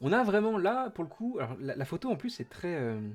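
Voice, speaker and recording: Recorded very cleanly against a silent background, a man speaks at a moderate pace with very wide pitch swings. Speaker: Twitch streamer hosting Disney parks news. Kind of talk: casual live stream chat. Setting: home office, live stream. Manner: hesitant, many fillers.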